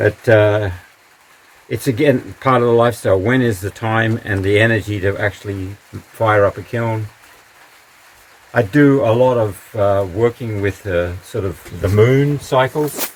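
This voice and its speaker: Over noticeable background noise, a man speaks fairly slowly in a fairly low pitch with ordinary pitch variation. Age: 70s. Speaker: potter and community member giving a home tour. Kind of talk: casual home tour. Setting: at home and in garden. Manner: halting, with many fillers.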